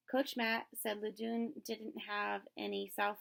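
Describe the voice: What we hear is plain reading aloud.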